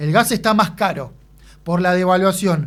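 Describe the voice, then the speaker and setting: The pace is moderate. Pitch variation is ordinary. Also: man. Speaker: radio host. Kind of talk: radio interview.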